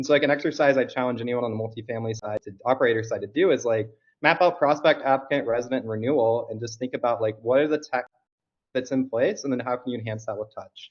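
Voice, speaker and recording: This man talks very fast at a medium pitch. His pitch variation is ordinary. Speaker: conference attendee giving recap on group call. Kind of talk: conference recap presentation on call.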